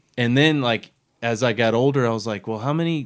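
A man with an American accent and an ordinary speaking voice at a fairly quick pace, with ordinary pitch variation, in a very clean recording with a silent background. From Florida. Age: 40s. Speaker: podcast host. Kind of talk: casual chat.

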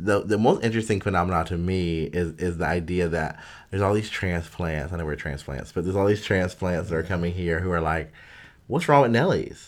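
At a moderate pace, a man with an American accent speaks in a very deep, low voice with ordinary pitch variation. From US South (Durham, North Carolina). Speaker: podcast co-host. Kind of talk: casual chat.

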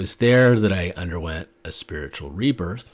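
Deep and very low-pitched, this man's voice carries vocal fry and an American accent. His pitch varies in an ordinary way. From US Pacific Northwest (Portland, Oregon; Montana). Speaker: podcast host. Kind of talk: solo monologue.

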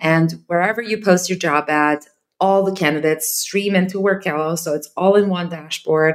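The speaker, with a Serbian accent, talks at a moderate pace with fairly even intonation. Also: woman, fairly low pitch for a woman. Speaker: startup founder. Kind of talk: interview.

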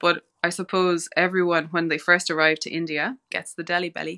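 The voice has a Cork accent, a bright, sharp tone and monotone, flat intonation. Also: woman. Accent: Irish, Cork. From Ireland, West Cork. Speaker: osteopathy student and holistic healer. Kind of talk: podcast interview.

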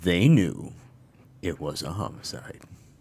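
Putting on a character voice, a man speaks in a very deep, low pitch with a dramatic tone at a fairly slow pace.

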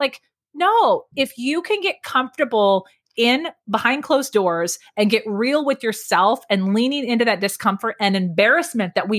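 In a dry, close recording with no echo, a woman speaks animatedly at a high pitch and a moderate pace. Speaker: public speaking coach. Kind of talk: interview.

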